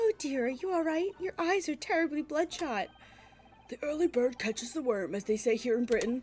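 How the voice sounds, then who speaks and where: A female-sounding voice puts on a gruff character voice pitched high. The pace is fairly quick. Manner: worried, solicitous.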